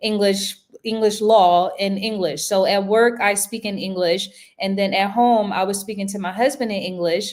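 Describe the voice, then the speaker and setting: Woman with an American accent, an unremarkable speaking voice, medium pitch and moderate pace. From United States. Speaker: attorney and law professor. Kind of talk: interview. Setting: livestream.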